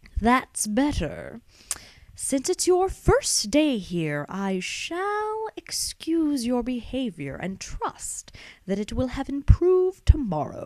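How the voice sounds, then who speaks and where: A woman puts on a character voice with high pitch. She speaks at a very slow pace. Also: big swings in loudness. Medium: read story. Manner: prim, fussy.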